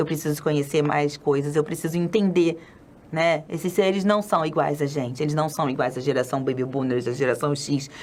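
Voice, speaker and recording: With a very deep, low pitch, a woman talks using ordinary pitch variation. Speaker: children's spiritist educator. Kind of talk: lecture. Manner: fast; animated.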